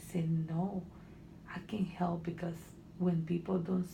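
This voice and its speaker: Noticeable background noise sits behind a woman with a Honduran accent. She speaks at a fairly slow pace and a fairly low pitch. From Honduras. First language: Spanish. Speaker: student, immigrant. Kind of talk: counseling interview. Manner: halting.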